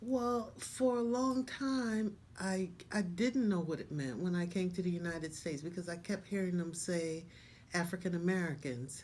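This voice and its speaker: There is audible room echo as a woman with a fairly low voice speaks with lively intonation. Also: moderate pace. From Panama, Colón. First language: Spanish. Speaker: interviewee sharing life story. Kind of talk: interview.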